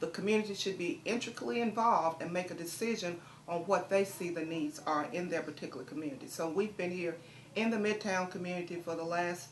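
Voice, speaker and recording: A woman talks in a fairly low pitch. Noticeable background noise and audible room echo surround her voice. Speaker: community nonprofit director. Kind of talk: interview. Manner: fast.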